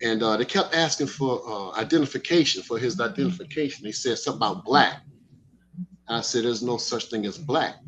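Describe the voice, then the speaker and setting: A man speaks at a fairly quick pace and medium pitch. His intonation is lively. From Miami, Florida (Liberty City). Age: 60s. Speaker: speaker at a Moorish study gathering. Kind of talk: casual testimony. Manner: animated, excitable.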